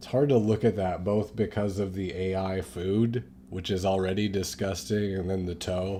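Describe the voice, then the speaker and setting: Speaking quietly with hardly any pauses, a man with a very deep, low pitch and a dark, mellow tone uses ordinary pitch variation. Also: moderate pace. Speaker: political commentary live streamer. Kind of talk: live stream commentary with jokes. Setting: studio apartment, late night. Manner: kept low, quiet.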